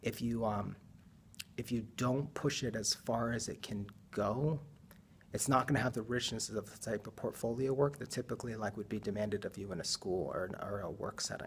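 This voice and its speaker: A man's somewhat breathy voice at medium pitch, with ordinary pitch variation and a moderate pace. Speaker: design teacher. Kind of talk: casual talk to camera.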